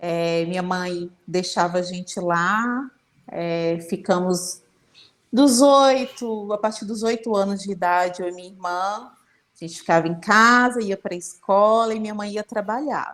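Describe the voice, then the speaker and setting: A woman's normal speaking voice at medium pitch, fairly slow, with ordinary pitch variation and big swings in loudness. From Brazil, Federal District (Ceilândia). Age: 30s. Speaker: interviewee, student. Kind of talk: casual interview.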